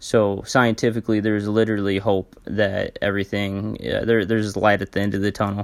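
This man speaks at a fairly low pitch and a moderate pace. His intonation is monotone and flat. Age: 20s. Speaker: podcast host sharing mental health story. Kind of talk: personal monologue. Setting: at home. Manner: halting, many fillers.

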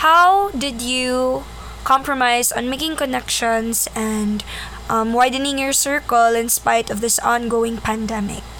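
A woman with a Philippine accent speaks very slowly at a fairly high pitch with ordinary pitch variation, amid noticeable background noise and audible room echo. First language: Cebuano (speaking Tagalog). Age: young. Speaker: podcast co-host. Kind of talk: casual chat.

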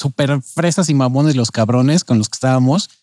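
Recorded with a dry, close sound and no echo, a man speaks in a dark, mellow tone with ordinary pitch variation. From Mexico City. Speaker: podcast co-host. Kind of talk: reading aloud; casual chat.

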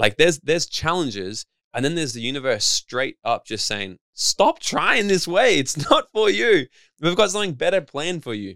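In an Australian accent, a man speaks in an animated, bright, sharp tone with vocal fry and very wide pitch swings, in a dry, close sound with no echo. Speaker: personal development coach and speaker. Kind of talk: interview. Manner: fast.

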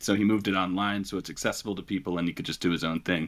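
A man is speaking at a very fast pace. His voice is very deep and low. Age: 30s. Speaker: school counselor. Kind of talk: casual interview conversation. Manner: halting.

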